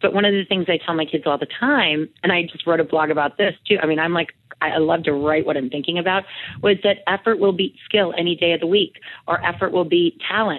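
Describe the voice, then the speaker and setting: A woman speaks with a normal speaking voice at a fairly low pitch. Her pace is fairly quick, with ordinary pitch variation. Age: 40s. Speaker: fitness expert. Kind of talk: interview.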